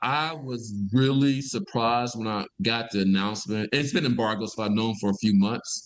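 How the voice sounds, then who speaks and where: The speaker has a Mississippi accent. There are hardly any pauses, and the pitch varies in an ordinary way. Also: man, medium pitch for a man. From US South, Mississippi (Vicksburg). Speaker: environmental health scientist. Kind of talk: interview conversation. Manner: fast when excited.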